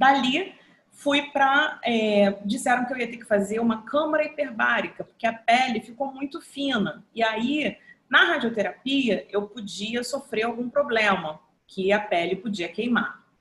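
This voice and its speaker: In an unremarkable speaking voice, a woman talks at a fairly slow pace and fairly high pitch, her intonation lively and her loudness swinging widely. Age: 50s. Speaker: photographer and journalist, breast cancer survivor. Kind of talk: testimony.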